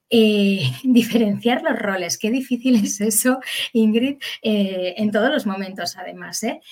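A woman's fairly high voice at a fairly slow pace, ordinary pitch variation, and noticeable background noise behind her. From Basque Country, Spain (Bilbao). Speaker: psychologist and educator. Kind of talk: expert interview.

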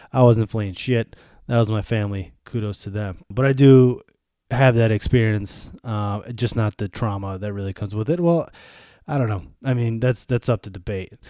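In a Western New York accent, the speaker talks at a fairly quick pace in a dark, mellow tone with ordinary pitch variation, the sound dry and close with no echo on a very clean recording with a silent background. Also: man. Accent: Western New York American. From US Northeast, Buffalo, New York. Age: 30s. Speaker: podcaster. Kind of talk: casual monologue. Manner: animated.

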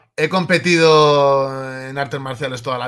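A man speaks with a Spanish accent at a fairly high pitch. His intonation stays fairly even. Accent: Peninsular Spanish. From Spain. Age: 30s. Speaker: political activist and writer. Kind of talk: interview.

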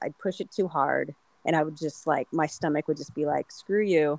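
With a Californian accent, a woman speaks at a very deep, low pitch with ordinary pitch variation, the sound dry and close with no echo. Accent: Californian American English. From Southern California. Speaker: trail runner. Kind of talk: casual chat.

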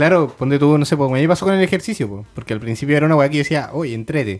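Speaking with a Chilean accent, a man uses a fairly high pitch and lively intonation. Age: 20s. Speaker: podcast host. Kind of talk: casual chat.

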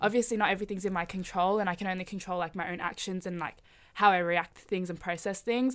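At a very fast pace, the speaker talks in an Australian accent with fairly even intonation. The recording is very clean, with a silent background. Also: woman, medium pitch for a woman. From Melbourne, Australia. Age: 20s. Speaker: podcast guest. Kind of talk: casual chat.

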